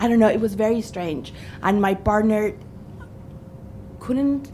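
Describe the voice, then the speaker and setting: A woman's dark, mellow tone at a fairly high pitch and a fairly slow pace. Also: ordinary pitch variation. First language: not English. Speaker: witness at a parliamentary inquiry, mother. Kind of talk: testimony. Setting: parliamentary committee hearing.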